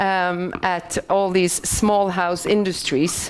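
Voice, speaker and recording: Here a woman speaks with a Swedish accent. She talks at a very slow pace. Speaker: BIM consultant. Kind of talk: conference presentation. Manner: halting.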